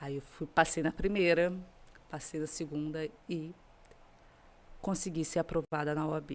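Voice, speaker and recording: At a moderate pace, a woman talks. The recording is very clean and the background silent. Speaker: lawyer. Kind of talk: podcast interview.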